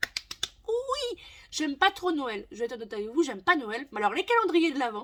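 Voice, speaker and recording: A woman talks at a moderate pace. Her loudness swings a lot, and her pitch swings very widely. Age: 20s. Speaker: booktuber. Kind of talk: casual vlog chat. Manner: halting.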